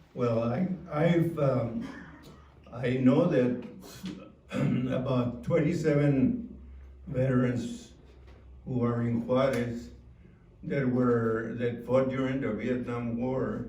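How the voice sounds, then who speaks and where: A man with an American accent speaks at a very slow pace in a medium pitch, with fairly even intonation and long, frequent pauses. Audible room echo and noticeable background noise surround his voice. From El Paso, Texas. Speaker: Navy veteran. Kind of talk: testimony. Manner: halting.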